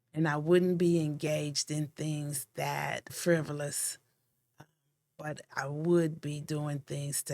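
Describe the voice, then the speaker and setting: Very slow and in monotone, flat intonation, a woman speaks. Her pitch is very deep and low. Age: 60s. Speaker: nonprofit founder and executive director. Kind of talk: podcast interview.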